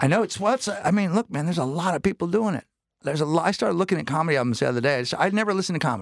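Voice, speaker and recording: Very fast and lively in intonation, a man talks at a high pitch. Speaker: stand-up comedian. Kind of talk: casual chat. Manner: loud.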